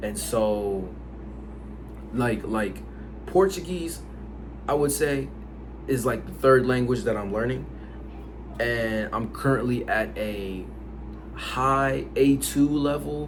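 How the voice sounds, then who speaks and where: Pausing long and often, a man with an American accent speaks at a very slow pace, with audible room echo and noticeable background noise. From United States, Haitian family. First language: Haitian Creole. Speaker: language learning YouTuber. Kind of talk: casual vlog talk. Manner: casual, with many fillers and repetitions.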